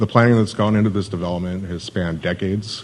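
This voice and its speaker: Over noticeable background noise, a man in an American accent speaks with fairly even intonation. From Southern California, Hesperia (High Desert). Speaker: city economic development manager. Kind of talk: conference presentation.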